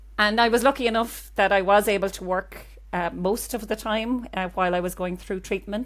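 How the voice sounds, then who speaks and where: A woman in a Cork accent talks at a fairly quick pace on a very clean recording with a silent background. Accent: Cork Irish. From Ireland, Cork. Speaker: GP and cancer patient. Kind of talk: interview.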